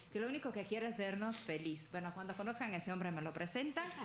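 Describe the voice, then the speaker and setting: Lively intonation carries over noticeable background noise. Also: woman. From Italy. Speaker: legal scholar, book presenter. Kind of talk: panel talk at book presentation. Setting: event with audience and panel table. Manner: halting, with fillers.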